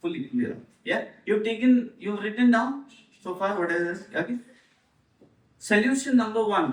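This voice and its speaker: A man speaks at a moderate pace in a high voice, with ordinary pitch variation. Long pauses come often, and the room echo is audible. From India, Bangalore. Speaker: pastor. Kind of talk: sermon. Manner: interactive, questioning the audience.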